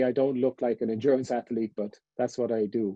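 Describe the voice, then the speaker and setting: In a Cork accent, a man with a medium pitch talks at a moderate pace with fairly even intonation. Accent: Irish, Cork. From Ireland. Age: 50s. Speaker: endurance swimmer. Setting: webinar.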